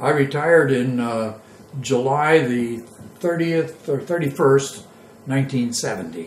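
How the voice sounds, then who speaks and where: A man with an American accent, fairly high in pitch, with ordinary pitch variation, a fairly slow pace and audible room echo. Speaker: war veteran. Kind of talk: oral history interview. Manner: halting.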